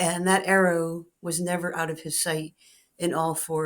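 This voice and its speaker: This woman has a normal speaking voice, fairly low in pitch. She talks at a moderate pace. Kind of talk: personal storytelling to camera. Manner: reflective, emotional.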